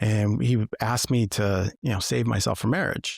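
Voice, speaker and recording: A man with an American accent has an unremarkable speaking voice at a fairly low pitch. The recording is very clean, with a silent background. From Massachusetts, US. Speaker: former state trooper turned coach. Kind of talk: podcast interview, personal story.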